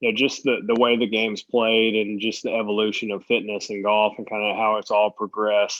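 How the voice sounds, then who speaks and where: A man's plain, everyday voice at a medium pitch and fairly quick pace. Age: 30s. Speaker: professional golfer. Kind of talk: interview. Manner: casual, conversational.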